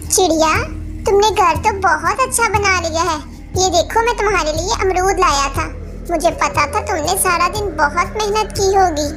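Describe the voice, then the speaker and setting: A cartoonish character voice talks at a moderate pace. Loud music plays in the background. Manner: kind, soft-hearted.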